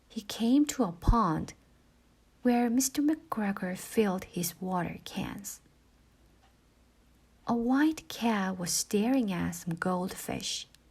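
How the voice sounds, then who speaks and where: Soft-spoken delivery comes at a very slow pace with long, frequent pauses. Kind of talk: bedtime story reading. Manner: slow, soft; quiet.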